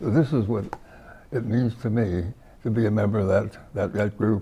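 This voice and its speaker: With an American accent, the voice has a dark, mellow, somewhat breathy tone and fairly even intonation. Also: man. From US West Coast (California). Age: 90s. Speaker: war veteran. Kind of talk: interview. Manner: halting.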